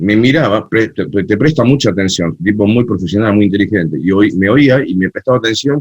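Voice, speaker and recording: With an Argentine accent, the speech moves at a fairly quick pace with hardly any pauses. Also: man, fairly low pitch for a man, ordinary pitch variation. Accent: typical Argentine Spanish. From Argentina, Buenos Aires. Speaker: cumbia festival organizer and DJ. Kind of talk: interview conversation.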